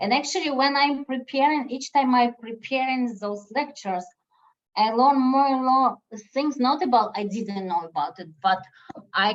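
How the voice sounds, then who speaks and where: A woman with a non-native accent, fairly high in pitch, with very wide pitch swings. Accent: foreign accent, noticeable. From former Soviet Union. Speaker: statistician, lecturer. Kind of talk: lecture Q&A on a video meeting.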